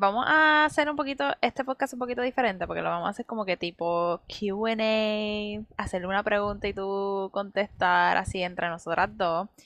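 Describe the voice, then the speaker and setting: A woman talks at a fairly slow pace with a bright, sharp tone, medium pitch and lively intonation. The sound is dry and close with no echo, and the background is quiet. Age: 20s. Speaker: medical student. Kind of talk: casual faith podcast chat and testimony.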